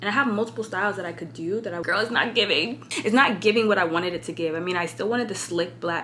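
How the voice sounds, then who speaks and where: A woman speaks very fast in a fairly low pitch, her intonation lively and her tone animated. Audible room echo and noticeable background noise surround her. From California. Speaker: fashion influencer vlogger. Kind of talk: casual vlog. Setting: hotel room.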